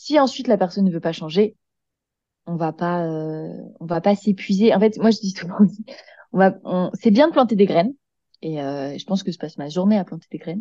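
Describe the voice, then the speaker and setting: A woman with a dark, mellow, medium-pitched voice speaks at a moderate pace, using long, frequent pauses and big swings in loudness. Her intonation is lively, and the sound is dry and close with no echo. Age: 20s. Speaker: eco-lifestyle content creator. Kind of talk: casual interview chat.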